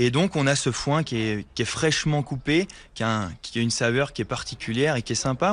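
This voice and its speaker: Against a quiet background, a man with an unremarkable speaking voice talks fairly quickly at medium pitch, his pitch varying in an ordinary way. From Haute-Savoie (Morzine). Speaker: hotelier restaurateur. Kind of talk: on-site interview.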